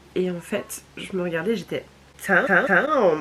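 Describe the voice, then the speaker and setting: A woman is talking over noticeable background noise. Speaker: vlogger. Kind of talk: casual vlog.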